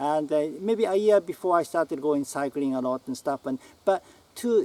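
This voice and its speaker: Lively in intonation, a man with a Japanese accent speaks at a moderate pace and fairly high pitch in a dry, close sound with no echo. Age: 60s. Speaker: writer. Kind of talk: casual talk to camera. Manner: halting.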